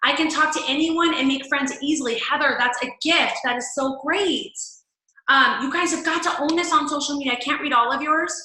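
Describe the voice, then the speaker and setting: Speaking in a raised, projected voice with a bright, sharp tone, a woman keeps a moderate pace and ordinary pitch variation amid audible room echo. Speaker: fitness coach. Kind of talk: team call training talk. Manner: loud; animated.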